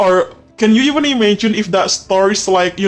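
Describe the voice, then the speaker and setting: Over noticeable background noise, a man with an Indonesian accent speaks at a moderate pace. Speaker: podcast host. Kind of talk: casual chat. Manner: halting.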